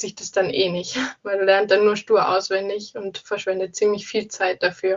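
A woman talks in a monotone, flat intonation. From Saxony, near Leipzig. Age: 20s. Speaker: engineering student. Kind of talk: casual interview. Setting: phone call.

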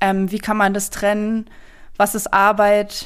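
At a moderate pace, a woman talks at a medium pitch in a very clean recording with a silent background. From eastern Germany. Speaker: freelance journalist and podcast host. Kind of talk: interview. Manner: casual with frequent fillers.

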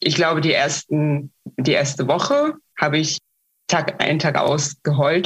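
The woman's voice is very deep and low, somewhat breathy, and dry and close with no echo. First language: Russian (speaking German). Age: 30s. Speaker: activist and project manager. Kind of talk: interview. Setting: video call. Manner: hesitant with many fillers.

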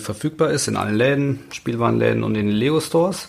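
A man speaking at a moderate pace. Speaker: toy investing expert. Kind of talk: casual chat. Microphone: new microphone.

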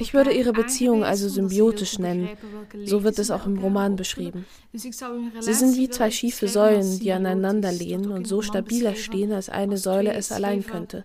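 A woman speaks at a moderate pace and medium pitch, with fairly even intonation. Background noise is noticeable. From Flanders, Belgium (Kempen region). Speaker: novelist. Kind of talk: interview. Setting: at home in Brussels.

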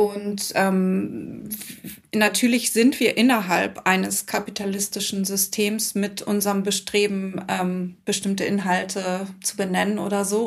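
Against noticeable background noise, a woman with a medium pitch speaks in monotone, flat intonation. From Hamburg. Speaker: author and former actress. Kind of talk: casual chat.

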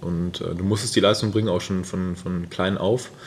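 At a very fast pace, a man talks in a very deep, low voice. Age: 30s. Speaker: ultra-distance cyclist. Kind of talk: casual interview. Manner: hesitant with many fillers.

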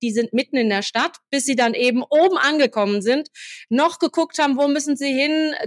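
A woman with a high pitch and ordinary pitch variation talks at a moderate pace, the sound dry and close with no echo. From Hesse, central (near Marburg). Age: 50s. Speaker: firefighter and fire association official. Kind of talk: interview.

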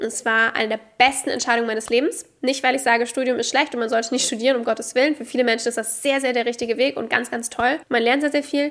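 In a high pitch, a woman talks at a very fast pace with an animated tone, ordinary pitch variation and hardly any pauses. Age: 20s. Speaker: podcast host, entrepreneur. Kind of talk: monologue, personal story. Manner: casual, animated.

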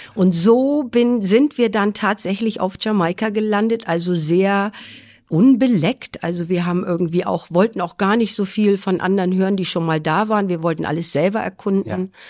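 A woman at a moderate pace, medium in pitch, with ordinary pitch variation. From Schleswig-Holstein, northern Germany. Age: 50s. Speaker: nurse. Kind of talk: interview.

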